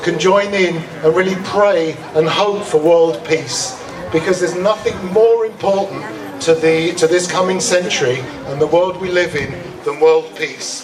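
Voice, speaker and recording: A man with a British accent speaks fairly slowly in a high pitch with ordinary pitch variation. Audible room echo and crowd noise sit in the background. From England. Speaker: master of ceremonies at a cultural festival. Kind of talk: emcee address to an outdoor audience.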